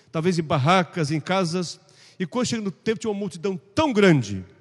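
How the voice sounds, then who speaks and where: A man's voice, high-pitched for a man, with ordinary pitch variation. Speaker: pastor teaching Sunday school. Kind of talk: Bible class lecture. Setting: church classroom. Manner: fast.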